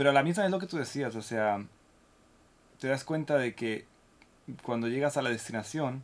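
A man is talking at a moderate pace. His intonation is lively. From Spain, Granada. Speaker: violinist. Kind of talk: casual chat.

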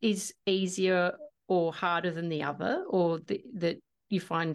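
Over a quiet background, a woman with an Australian accent talks at a fairly slow pace, with a fairly low pitch and fairly even intonation. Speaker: podcast host and singer-songwriter. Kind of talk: casual interview chat.

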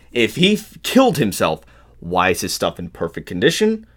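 A man at a fairly high pitch speaks at a fairly slow pace with very wide pitch swings and vocal fry, on a very clean recording with a silent background. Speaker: podcast co-host. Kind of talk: casual true-crime narration.

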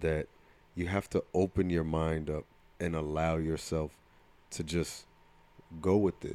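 Slow-paced and fairly even in intonation, a man with a New Jersey accent speaks in a very deep, low pitch with a dark, mellow tone. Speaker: podcast co-host and coach. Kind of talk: casual chat.

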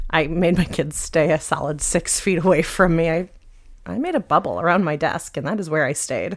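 A woman talks in an animated tone at a fairly quick pace. Her pitch is fairly low, with ordinary variation. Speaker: middle school teacher and podcast co-host. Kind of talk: casual chat. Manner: animated, laughs often.

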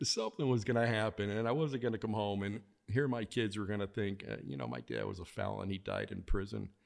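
With an American accent, a man talks at a very fast pace in a fairly low pitch. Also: ordinary pitch variation. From Chicago, US Midwest. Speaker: author and former trader. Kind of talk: interview. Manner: halting, many fillers and repeats.

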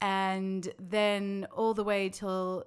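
Speaking with an Australian accent, a woman talks at a medium pitch. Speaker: occupational therapist. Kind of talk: interview.

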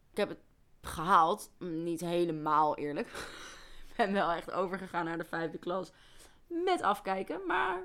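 A woman with a bright, sharp tone speaks at a fairly slow pace, with long, frequent pauses, fairly even intonation and big swings in loudness. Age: 20s. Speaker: forensic remedial educationalist. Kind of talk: casual chat.

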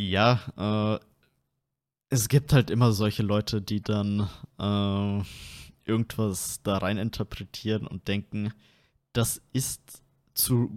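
In a very clean recording with a silent background and a dry, close sound free of echo, a man with a fairly low voice speaks very slowly, leaving long, frequent pauses. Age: 20s. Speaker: podcast host. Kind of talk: casual chat.

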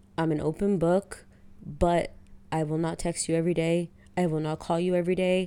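At a fairly quick pace, a woman talks in a flat monotone, her tone dark and mellow and her pitch fairly low. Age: 20s. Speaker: real estate title worker. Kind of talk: casual chat.

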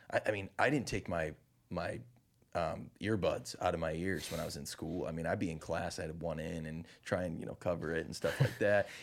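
With a Chicago-area accent, a man talks in a very deep, low voice with ordinary pitch variation. The recording is very clean, with a silent background. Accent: Chicago-area Midwestern American. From US Midwest, Chicago suburbs (Naperville, Illinois). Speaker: touring singer-songwriter. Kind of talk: casual interview chat. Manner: animated.

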